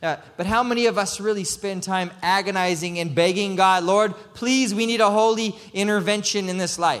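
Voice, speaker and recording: Fairly even intonation with audible room echo. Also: man. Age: 30s. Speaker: ministry leader and preacher. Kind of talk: sermon.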